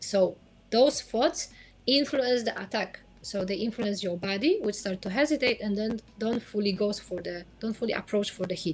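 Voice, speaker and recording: Somewhat breathy and fairly high in pitch, a woman speaks at a moderate pace with ordinary pitch variation and long, frequent pauses. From Poland. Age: 30s. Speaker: sports psychologist. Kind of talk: interview.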